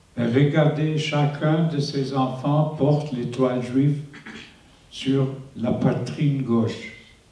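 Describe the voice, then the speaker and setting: A man with a fairly high pitch talks at a very slow pace, his intonation monotone and flat and his loudness very even. Noticeable background noise is present. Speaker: Holocaust survivor. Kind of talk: testimony to school students.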